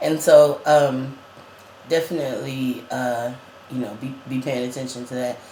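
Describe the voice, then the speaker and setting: Speech at a fairly slow pace, with long, frequent pauses and fairly even intonation, swings widely in loudness against audible room echo and noticeable background noise. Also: man. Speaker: vlogger. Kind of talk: casual chat.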